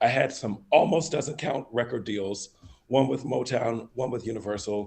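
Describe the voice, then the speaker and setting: Somewhat breathy and medium in pitch, this man talks at a moderate pace with ordinary pitch variation. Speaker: songwriter and recording artist. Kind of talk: casual interview.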